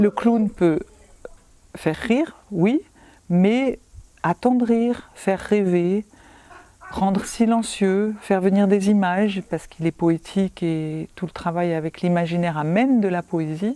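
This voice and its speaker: A woman speaks very slowly at a medium pitch, with ordinary pitch variation and long, frequent pauses. The sound is dry and close, with no echo. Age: 60s. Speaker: clown teacher and actress. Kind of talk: interview testimony.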